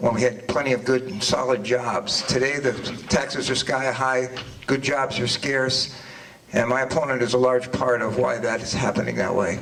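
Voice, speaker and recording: Medium-pitched male speech with fairly even intonation at a moderate pace, amid noticeable background noise. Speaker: political candidate. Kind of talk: candidate forum opening statement. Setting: public forum with audience. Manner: halting.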